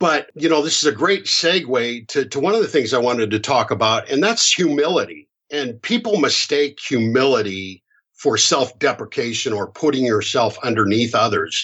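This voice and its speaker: Speaking at a moderate pace with lively intonation, a man with an American accent has a medium pitch and a normal speaking voice. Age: 50s. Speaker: hypnotherapist. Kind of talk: podcast interview.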